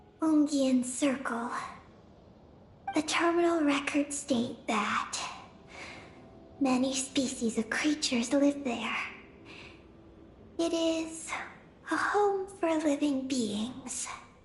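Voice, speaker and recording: A put-on character voice, high-pitched and very slow, with long, frequent pauses and clear background noise. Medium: video game. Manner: calm, precise, matter-of-fact.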